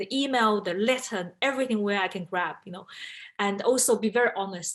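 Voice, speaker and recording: In a Chinese accent, a woman speaks at a very fast pace. Her pitch varies in an ordinary way. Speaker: in-house lawyer. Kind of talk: panel talk.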